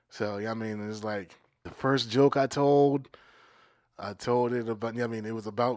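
In a plain, everyday voice with an American accent, the speaker goes at a moderate pace with ordinary pitch variation, on a very clean recording with a silent background. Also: man. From Maryland, US. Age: 30s. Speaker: comedian. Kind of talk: casual chat.

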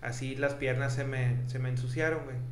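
At a fairly slow pace, a man with a Mexican accent speaks at a fairly high pitch, with audible room echo and noticeable background noise. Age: 20s. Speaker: podcast co-host. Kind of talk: casual chat.

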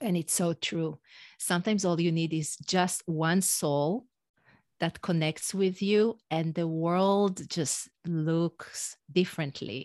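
A woman with an Israeli accent speaks very slowly in a fairly low pitch with ordinary pitch variation, in a dry, close sound with no echo over a quiet background. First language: Hebrew. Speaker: executive and leadership coach. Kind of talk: podcast interview.

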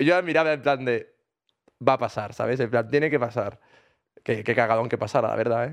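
Speaking at a fairly quick pace, a man with a medium pitch and ordinary pitch variation leaves long, frequent pauses. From Granada, Spain. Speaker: podcast co-host. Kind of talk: casual chat.

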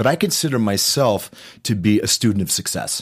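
A man with a normal speaking voice talks at a moderate pace and medium pitch, his intonation lively, in a very clean recording with a silent background. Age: 50s. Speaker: actor and author. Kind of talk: interview.

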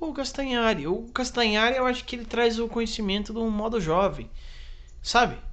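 This man's pitch is extremely high, with ordinary variation. He talks at a moderate pace, and the room echo is audible. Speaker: podcast co-host, comedian. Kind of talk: casual chat.

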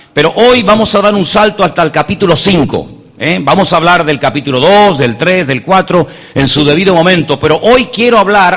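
A man with a high pitch and lively intonation speaks at a moderate pace over noticeable background noise. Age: 50s. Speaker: pastor. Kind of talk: sermon.

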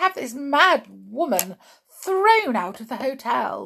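A woman's slow, high, shrill put-on character voice with a fairly bright tone, big pitch swings, vocal fry and a slightly husky edge

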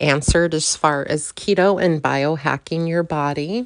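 A woman with an American accent speaks in a very deep, low voice. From US Midwest/South (Kansas, Oklahoma, Arizona). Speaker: podcast host. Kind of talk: personal monologue. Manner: hesitant, many ums.

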